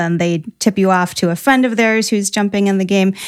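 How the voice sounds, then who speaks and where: A woman with a Midwestern US accent at medium pitch and a moderate pace, ordinary pitch variation, in a very clean recording with a silent background. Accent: US Midwest. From Ohio. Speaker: small business owner. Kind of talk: interview.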